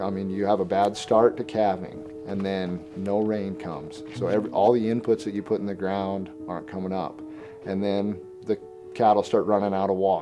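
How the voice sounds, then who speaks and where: A man with an American accent and lively intonation, music in the background. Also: fairly low pitch for a man, moderate pace. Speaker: rancher. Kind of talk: interview. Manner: halting, with repeated words.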